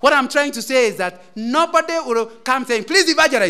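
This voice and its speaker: With a bright, sharp tone, a man speaks in a raised, projected voice. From Kenya, Central Province. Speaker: lay preacher. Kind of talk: sermon. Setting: church.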